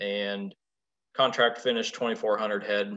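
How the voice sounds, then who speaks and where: Fairly slowly and with a quiet background, a man speaks. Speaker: presenter. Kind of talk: presentation talk. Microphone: video call.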